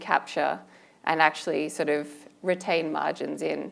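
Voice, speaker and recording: A woman with an Australian accent speaks at a moderate pace and a fairly low pitch, with vocal fry. The recording is very clean, with a silent background. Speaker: asset management panelist. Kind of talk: panel discussion.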